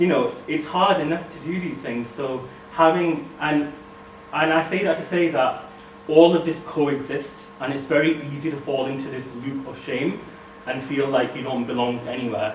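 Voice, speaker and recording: Recorded with audible room echo and noticeable background noise, a man speaks in a fairly high voice. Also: ordinary pitch variation, moderate pace. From northern England, Bradford. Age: 20s. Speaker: speaker. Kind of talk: talk.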